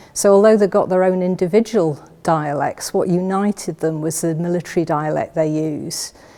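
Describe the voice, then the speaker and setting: A woman speaks at a moderate pace and a medium pitch. Her tone is dark and mellow, with fairly even intonation. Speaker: library staff. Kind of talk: casual talk to camera. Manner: hesitant, with fillers.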